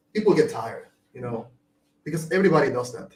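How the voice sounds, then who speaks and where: Speaking at a fairly quick pace, a man talks with a Venezuelan accent. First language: Spanish. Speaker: marketing agency owner. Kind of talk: podcast interview answer.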